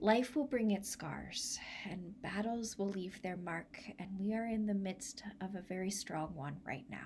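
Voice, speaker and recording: A woman speaks in a gentle, solemn tone at a fairly slow pace. Light background noise sits behind her. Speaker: church minister leading a service. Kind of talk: blessing prayer, pastoral benediction. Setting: online church video. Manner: slow, gentle and solemn, measured pastoral cadence; warm, reflective, reassuring. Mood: warm, gentle, smiling. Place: home room. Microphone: phone near.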